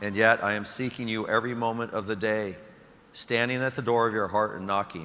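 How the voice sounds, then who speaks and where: Here is a man with a normal speaking voice, fairly low in pitch. He moves at a fairly quick pace with fairly even intonation. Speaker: priest. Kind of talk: homily, then fervent prayer. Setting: church during Mass. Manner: earnest, warm, pastoral; fervent, pleading, intimate in prayer.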